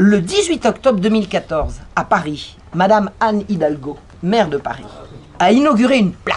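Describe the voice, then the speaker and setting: Lively intonation marks this woman's medium-pitched voice at a moderate pace. Noticeable background noise runs underneath. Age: 60s. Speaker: historian and author. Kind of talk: conference talk.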